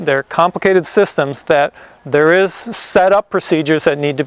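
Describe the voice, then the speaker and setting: A high-pitched man is heard in a dry recording with no echo and a quiet background. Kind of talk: explainer tutorial. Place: garden.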